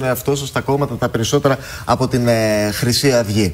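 At a fairly quick pace, a man uses a normal speaking voice of medium pitch with ordinary pitch variation. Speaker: TV news host. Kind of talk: TV interview.

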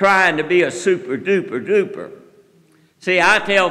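Speaking at a moderate pace, a man raises and projects his high-pitched voice with an animated tone and ordinary pitch variation. The background is quiet. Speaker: preacher. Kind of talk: sermon. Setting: church. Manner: animated, fervent preaching with audience call-and-response; folksy, conversational, rhetorical questions. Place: church. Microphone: podium.

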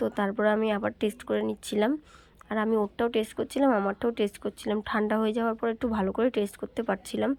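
Monotone, flat intonation and very even loudness mark this voice, recorded dry and close with no echo. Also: woman, fairly high pitch for a woman. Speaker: vlogger. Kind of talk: casual vlog narration.

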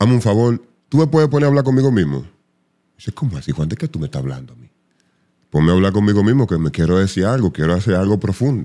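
Over a quiet background, a dark, mellow voice rushes at a very fast pace with very wide pitch swings and big swings in loudness. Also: man, fairly low pitch for a man. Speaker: voice artist and psychologist; podcast guest, radio personality. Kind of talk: casual chat. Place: studio. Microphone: studio mic.

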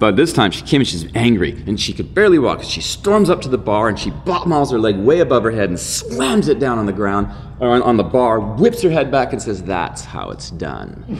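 Faint music plays in the background while a man talks at a moderate pace. He makes very wide pitch swings with hardly any pauses. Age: 50s. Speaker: dance professor and filmmaker; dance professor. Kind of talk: interview. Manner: animated. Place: meeting room. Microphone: studio mic.

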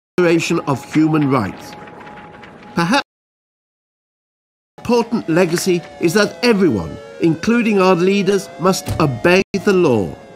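A man speaks at a high pitch with very even loudness and long, frequent pauses. Music plays in the background. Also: lively intonation, moderate pace. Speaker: comedian, actor. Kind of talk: documentary narration.

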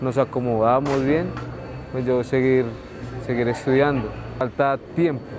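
A man talks at a fairly slow pace with fairly even intonation, his dry sound carrying no echo over noticeable background noise. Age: 20s. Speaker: market porter. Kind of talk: documentary interview. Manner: casual, hesitant. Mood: calm, a bit shy. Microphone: lapel.

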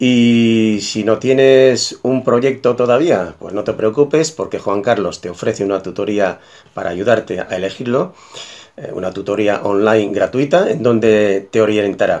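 A man talks at a fairly slow pace, and his pitch varies in an ordinary way. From Galicia, Spain (Moaña, Pontevedra); Galicia, Spain. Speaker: massage therapist and osteopath. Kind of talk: testimonial. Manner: slightly halting with fillers. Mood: warm, enthusiastic. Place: home room. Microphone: webcam.

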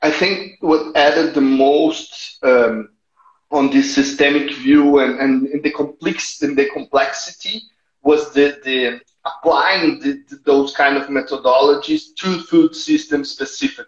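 In a Portuguese accent, a man speaks at a fairly slow pace with fairly high pitch. His intonation stays fairly even, and audible room echo surrounds the voice. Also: quiet background. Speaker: NGO innovation manager; interview guest. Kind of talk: interview. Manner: halting, repeats words. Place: home room. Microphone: earbuds.

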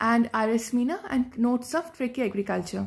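The speaker talks at a fairly quick pace against a quiet background. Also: woman. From India, West Bengal. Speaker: agriculture student, exam ranker. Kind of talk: testimonial talk, exam tips; testimonial talk on exam preparation. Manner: hesitant, many fillers. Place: home room. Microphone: phone near.

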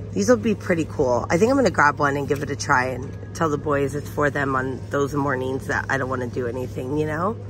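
Fairly quick speech with hardly any pauses, dry and echo-free, over background music. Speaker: shopping vlogger. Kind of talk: casual vlog chat. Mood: upbeat, chatty. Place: shop. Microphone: phone near.

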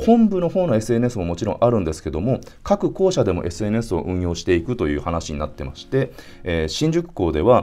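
A dark, mellow tone with very wide pitch swings comes at a moderate pace. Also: man. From Hiroshima, Japan; Japan. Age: 40s. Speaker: entrepreneur vlogger. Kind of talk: solo business vlog monologue. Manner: filler-heavy, polite casual. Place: home room.

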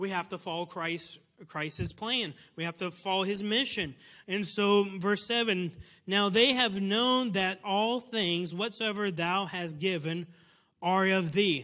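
Against a quiet background, a man with an American accent speaks very slowly in a raised, projected voice, high-pitched and bright, sharp in tone, with ordinary pitch variation. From United States. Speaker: missionary preacher. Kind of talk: sermon. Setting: church. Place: church. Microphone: lapel.

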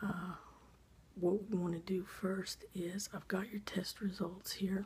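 Soft-spoken with a gentle tone, the voice moves at a fairly slow pace over light background noise. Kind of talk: role-play doctor exam talk to the viewer. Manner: soft, gentle ASMR doctor voice. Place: home room. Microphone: phone near.

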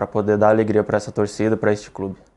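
In monotone, flat intonation, a man talks with a fairly low pitch. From Tocantins, Brazil. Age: 20s. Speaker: professional footballer. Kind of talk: club presentation statement; interview answer. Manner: halting, many fillers. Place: studio. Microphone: lapel.

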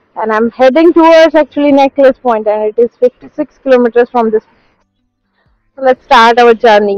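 A woman's high voice with ordinary pitch variation, dry with no echo, with music in the background. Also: moderate pace. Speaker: vlogger. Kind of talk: casual vlog chat. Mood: excited, first vlog. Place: motorbike.

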